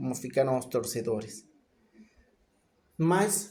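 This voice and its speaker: Very slowly, a man speaks in a somewhat breathy voice of medium pitch with a dark, mellow tone. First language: not Portuguese (speaking Portuguese). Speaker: football commentator, YouTuber. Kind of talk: casual match analysis monologue. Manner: informal, with hesitations.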